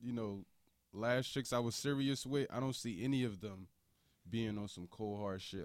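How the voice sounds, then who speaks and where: Heard in a very clean recording with a silent background, a man with an American accent has an ordinary speaking voice, ordinary pitch variation, and a moderate pace. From US, grew up in the projects. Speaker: podcast guest. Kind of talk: casual chat.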